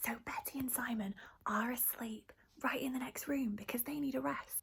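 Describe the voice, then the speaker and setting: Whispering, a woman speaks at a moderate pace. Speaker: youth theatre practitioner. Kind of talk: tutorial. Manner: animated.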